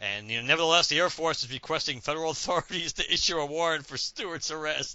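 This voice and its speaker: A man at a fairly high pitch, talking at a very fast pace with hardly any pauses and ordinary pitch variation. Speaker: guest co-host, comics podcaster. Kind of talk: casual podcast chat.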